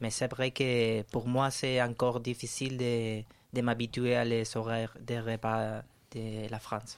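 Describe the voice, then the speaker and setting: In a Spanish accent, a man speaks at a very slow pace with monotone, flat intonation. The recording is very clean, with a silent background. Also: medium pitch for a man. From Spain, Valencia. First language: Spanish (speaking French). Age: 30s. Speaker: radio guest. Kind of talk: casual interview. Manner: halting.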